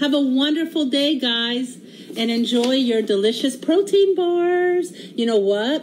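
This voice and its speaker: Over noticeable background noise, a woman speaks fairly slowly in a high pitch with lively intonation. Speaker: home cooking livestreamer. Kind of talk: casual livestream cooking chat. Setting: home kitchen livestream. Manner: animated.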